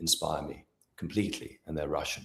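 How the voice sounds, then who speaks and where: A man speaks at a moderate pace with a British accent. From Britain. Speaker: astrologer. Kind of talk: interview conversation.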